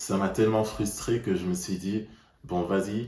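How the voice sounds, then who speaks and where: Very slow male speech, fairly low in pitch, with fairly even intonation and audible room echo. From Netherlands. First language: Dutch (speaking French). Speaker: language learner vlogger. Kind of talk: personal vlog monologue.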